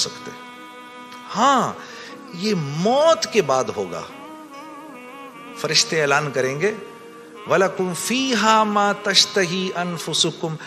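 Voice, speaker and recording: Over music in the background, a man speaks in a high pitch. His pitch swings very widely and his loudness rises and falls sharply. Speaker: religious speaker. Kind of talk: religious sermon.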